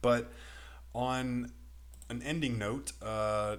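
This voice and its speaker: There's audible room echo as a man talks at a very slow pace in a Texan accent. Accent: Texan American. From Texas. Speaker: crypto YouTuber. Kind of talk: video commentary. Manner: relatively slow.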